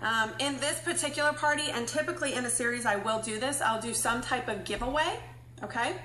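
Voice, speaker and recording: A woman's high voice at a fairly quick pace, with audible room echo and noticeable background noise. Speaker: beauty product sales presenter. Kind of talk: livestream tutorial. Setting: live video stream. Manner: fast.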